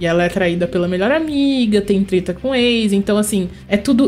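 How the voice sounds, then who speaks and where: Lively intonation at a moderate pace, over noticeable background noise. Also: woman. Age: 30s. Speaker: writer and illustrator. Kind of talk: casual chat.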